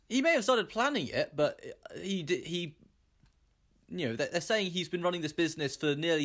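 On a very clean recording with a silent background, a man speaks in a normal speaking voice at a fairly quick pace with lively intonation. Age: 20s. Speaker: podcast host and quizmaster. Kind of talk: casual chat.

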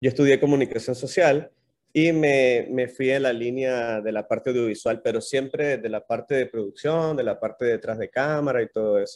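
A man with an unremarkable speaking voice, medium pitch, fairly even intonation and a moderate pace. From Nicaragua. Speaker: YouTube content creator. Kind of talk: casual interview chat.

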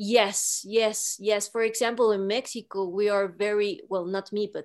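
A woman in a normal speaking voice at medium pitch and moderate pace, on a very clean recording with a silent background. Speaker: film marketer and producer. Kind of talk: interview.

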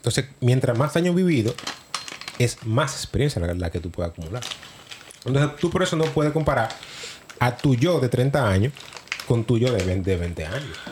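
A man's medium-pitched voice with very wide pitch swings, a moderate pace, long and frequent pauses, and noticeable background noise. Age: 30s. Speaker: podcast co-host. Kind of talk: casual chat.

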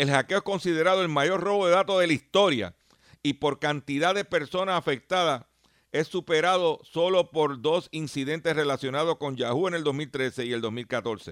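A man talks at a moderate pace in an ordinary speaking voice, fairly high in pitch with ordinary pitch variation, on a very clean recording with a silent background and a dry, close sound with no echo. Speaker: radio host and consumer advocate. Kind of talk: radio talk show monologue.

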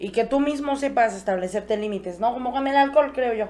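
A woman's voice with lively intonation. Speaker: podcast guest. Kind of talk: casual chat. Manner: animated.

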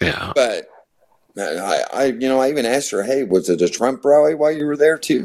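Speaking with an American accent, the voice is an ordinary speaking voice with lively intonation at a fairly quick pace. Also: man, medium pitch for a man. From US Midwest, rural northwest Missouri. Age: 40s. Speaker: music booker and interviewer. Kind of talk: casual chat.

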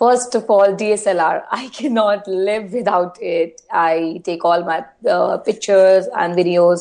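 Here a woman speaks at a very slow pace yet with hardly any pauses. Her pitch is medium, with ordinary variation. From India. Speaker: beauty YouTuber. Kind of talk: interview. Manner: halting, many fillers.

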